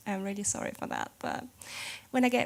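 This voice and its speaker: Lively intonation from a woman at a medium pitch. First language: German. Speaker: games journalist. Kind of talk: conference talk. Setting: stage with audience. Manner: hesitant, many fillers.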